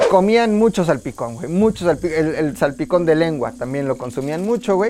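With a central Mexican accent, a man talks in an animated tone at a high pitch with very wide pitch swings. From Tula, Hidalgo, Mexico. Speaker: history podcast host. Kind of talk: casual comedic history storytelling.

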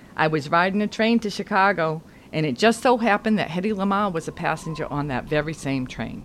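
A plain, everyday voice from a woman, fairly low-pitched and fairly quick, with lively intonation. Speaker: audio drama actor playing reporter character. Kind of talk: scripted audio drama dialogue.

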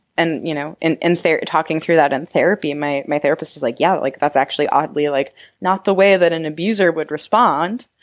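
In a fairly low pitch with ordinary pitch variation, a woman speaks in an ordinary speaking voice. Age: 20s. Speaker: sex educator and shop owner. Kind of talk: interview, casual chat.

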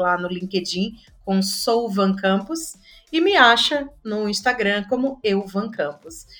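A woman's voice at a medium pitch. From Pernambuco, Brazil (interior). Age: 40s. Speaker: content manager at an ad agency. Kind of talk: casual interview chat.

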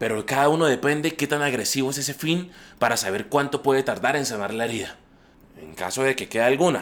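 A man races along very fast in a medium pitch. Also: ordinary pitch variation. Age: 30s. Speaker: traveling painter sharing reflections. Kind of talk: scripted personal monologue. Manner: reflective.

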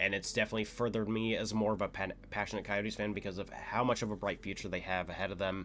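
In an American accent, a man with a fairly low pitch speaks at a fairly quick pace with monotone, flat intonation. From US Midwest, St. Louis. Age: 20s. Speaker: podcast host. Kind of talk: casual solo monologue. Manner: filler-heavy, rambling.

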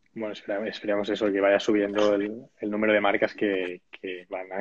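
A man with a plain, everyday voice, fairly low pitch, fairly even intonation and a fairly quick pace. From Catalonia, Spain (Sabadell). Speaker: webinar host. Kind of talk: interview.

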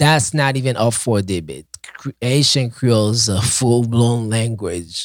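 The speaker has a Haitian accent. The pace is fairly slow. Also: man, medium pitch for a man, ordinary pitch variation. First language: Haitian Creole. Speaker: podcast co-host teaching Haitian Creole. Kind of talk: casual chat.

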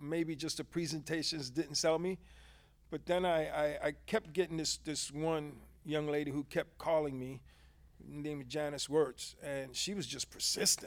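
A man with a fairly high pitch speaks at a moderate pace with fairly even intonation. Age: 50s. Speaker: insurance agent, former hospice chaplain. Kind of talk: casual interview. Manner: halting.

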